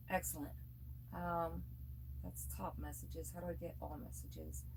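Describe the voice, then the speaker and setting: A woman's voice, moderate in pace, in a room with audible echo. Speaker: yarn crafter livestreamer. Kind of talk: casual livestream chat. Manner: soft-spoken, regaining volume after weeks of whispering. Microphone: far from the recording device.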